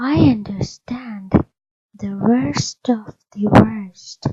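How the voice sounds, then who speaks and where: A woman uses a put-on character voice, husky and soft-spoken at a medium pitch. She talks at a very slow pace. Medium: read story. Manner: soft, composed.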